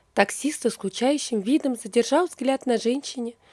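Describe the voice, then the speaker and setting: Her high pitch and dark, mellow tone come through a dry, close sound with no echo as the woman speaks at a moderate pace. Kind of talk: audio story narration.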